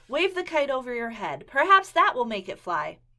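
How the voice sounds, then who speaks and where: In a put-on character voice, a female-sounding speaker talks at a high pitch and a moderate pace, with very wide pitch swings. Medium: read story.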